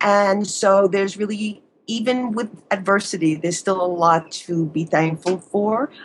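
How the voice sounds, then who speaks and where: At a moderate pace, a woman with a slight New York accent talks at medium pitch with ordinary pitch variation. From US Northeast, Long Island, New York. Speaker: psychologist, relationship expert. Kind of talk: advice interview.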